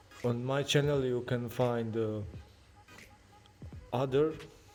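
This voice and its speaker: A man with a non-native accent speaks at a medium pitch in a monotone, flat way. Audible room echo surrounds him, and music plays in the background. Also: long, frequent pauses. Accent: non-native English, moderate. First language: not English. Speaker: car detailing youtuber. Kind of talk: tutorial. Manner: halting.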